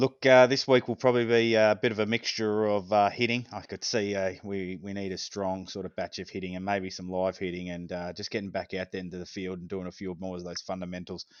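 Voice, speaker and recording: A man with a very deep, low pitch talks at a fairly quick pace with hardly any pauses. His intonation stays fairly even while his loudness swings widely. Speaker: amateur baseball coach. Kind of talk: casual podcast chat.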